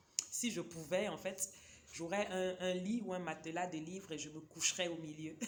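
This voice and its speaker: A woman's fairly low voice at a moderate pace, fairly even in intonation, over noticeable background noise. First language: a Cameroonian local language (speaking French). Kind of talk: casual book review vlog. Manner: hesitant, many fillers.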